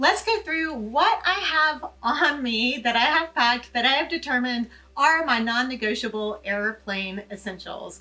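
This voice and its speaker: Using a raised, projected voice, a woman speaks at a fairly slow pace with lively intonation. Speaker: travel tips vlogger. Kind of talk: tutorial. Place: home room.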